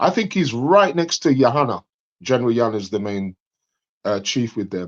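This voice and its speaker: A man with an English accent talks at a medium pitch and a fairly quick pace. His pitch swings very widely against a quiet background. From England. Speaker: caller on live debate stream. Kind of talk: casual debate discussion. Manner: hesitant, many fillers.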